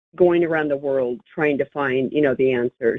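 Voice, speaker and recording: A woman speaks here. Her pitch is very deep and low for a woman, with ordinary pitch variation. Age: 60s. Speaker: caller. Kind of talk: phone-in call. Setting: phone call. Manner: halting.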